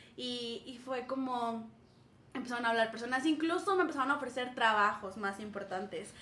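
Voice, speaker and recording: The speech moves at a moderate pace with ordinary pitch variation, while audible room echo and noticeable background noise fill the recording. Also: woman, high pitch for a woman. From northern Mexico, Saltillo. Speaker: schoolteacher. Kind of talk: casual chat.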